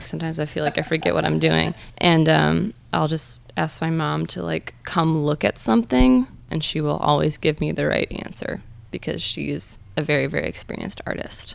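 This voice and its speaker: A woman with an American accent speaks at a moderate pace in a very deep, low voice. There is vocal fry, and her pitch swings very widely. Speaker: printmaker. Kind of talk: interview.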